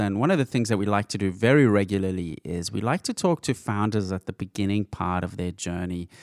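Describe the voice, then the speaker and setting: On a very clean recording with a silent background, a man with a plain, everyday voice speaks at a fairly quick pace with a fairly low pitch, ordinary pitch variation, and a dry, close sound with no echo. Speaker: podcast co-host. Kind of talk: casual interview chat.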